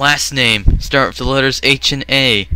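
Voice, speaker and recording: A man talks at a medium tempo with noticeable noise behind him. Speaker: gaming youtuber commentating simulated races. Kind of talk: live commentary. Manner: animated.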